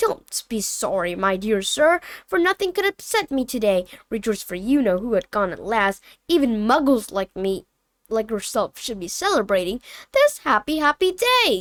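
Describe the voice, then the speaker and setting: A woman uses a squeaky, put-on character voice at a fairly high pitch and a moderate pace. The recording is very clean, with a silent background. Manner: gleeful, celebratory.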